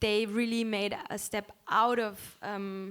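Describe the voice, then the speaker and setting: With a German accent, the speaker uses monotone, flat intonation on a very clean recording with a silent background. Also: woman. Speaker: musician. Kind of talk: panel discussion.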